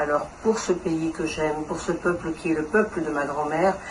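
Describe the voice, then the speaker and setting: A woman speaks fairly slowly with a very deep, low pitch. Audible room echo and noticeable background noise fill the recording. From Congo (DRC). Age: 70s. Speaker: interviewee at community event. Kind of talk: interview testimony. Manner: halting with hesitations.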